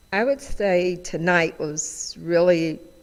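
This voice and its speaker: This woman has an American accent. She speaks at a very slow pace. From US South, Nashville, Tennessee. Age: 70s. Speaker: panelist. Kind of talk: casual discussion. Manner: hesitant, many fillers.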